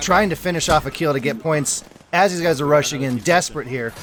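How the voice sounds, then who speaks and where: Music in the background behind a man's fairly high voice with ordinary pitch variation. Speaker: esports shoutcaster / commentator. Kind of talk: live esports shoutcast commentary. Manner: energetic, fast-paced play-by-play.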